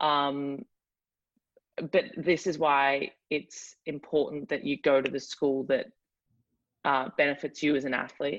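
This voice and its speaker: A woman's very deep, low voice in a strong Australian accent, fairly slow, with ordinary pitch variation and long, frequent pauses. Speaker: college athlete. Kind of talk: interview. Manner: hesitant, many fillers.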